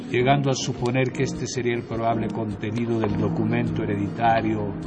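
With music in the background, a man speaks in a solemn, dramatic tone. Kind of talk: horror audiobook narration, first-person gothic reading aloud. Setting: radio studio. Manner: slow, measured, solemn, dramatic storytelling with ominous pauses and suspenseful build.

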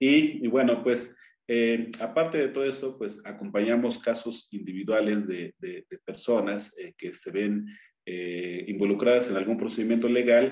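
A man with an Oaxacan accent at a medium pitch and fairly slow pace, with ordinary pitch variation and big swings in loudness. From Oaxaca, Mexico (Triqui people). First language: Triqui (speaking Spanish). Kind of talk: radio interview. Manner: halting, many fillers.

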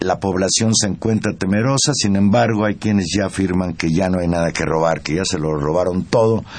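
A man speaks at a very deep, low pitch with ordinary pitch variation and very even loudness. His pace is fairly quick with hardly any pauses, over noticeable background noise. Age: old. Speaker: radio host. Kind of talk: radio news talk. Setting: radio studio.

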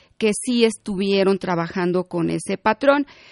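At a fairly slow pace, a woman with an ordinary speaking voice and ordinary pitch variation is heard in a dry, close recording with no echo and a quiet background. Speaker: tax accountant and consultant. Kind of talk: radio interview. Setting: studio.

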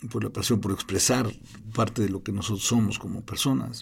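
Vocal fry and ordinary pitch variation in a man's speech. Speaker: film director. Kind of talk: interview. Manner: halting, repeats words.

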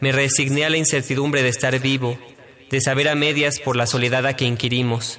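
A man's medium-pitched, monotone, flat voice at a moderate pace, with audible room echo and noticeable background noise. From Mexico, Mexico City. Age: 20s. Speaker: poet. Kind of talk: poetry reading.

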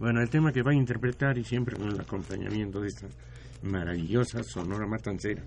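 A man speaks at a fairly low pitch. His voice moves through very wide pitch swings. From Mexico, Guanajuato (left as child). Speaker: retired engineer and music promoter. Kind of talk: radio interview. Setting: radio studio.

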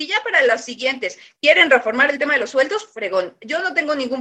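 A woman speaks at a fairly quick pace. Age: 30s. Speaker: politician. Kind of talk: radio debate.

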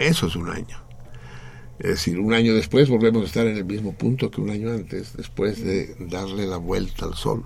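Audible room echo surrounds a man whose fairly low voice carries vocal fry and lively intonation. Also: moderate pace. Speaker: radio host. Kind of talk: casual chat.

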